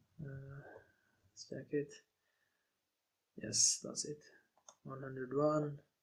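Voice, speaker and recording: Somewhat breathy delivery in a non-native accent, broken by long, frequent pauses. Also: man. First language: not English. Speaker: online course instructor. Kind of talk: tutorial. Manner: halting.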